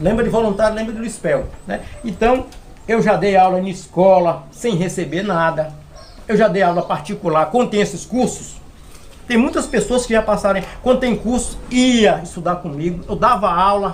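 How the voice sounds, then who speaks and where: A man's high voice, with ordinary pitch variation, moves at a moderate pace. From Brazil, Minas Gerais (Serra dos Aimorés). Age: 60s. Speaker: florist and forestry worker. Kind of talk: interview. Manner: hesitant, repetitive fillers.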